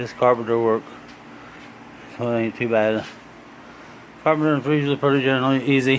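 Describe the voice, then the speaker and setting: A man talks at a fairly quick pace and medium pitch, in a monotone, flat intonation. He takes long, frequent pauses. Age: 60s. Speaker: DIY woodworking and hunting vlogger. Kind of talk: casual how-to tutorial. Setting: home garage workshop. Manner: halting, with fillers and repeats.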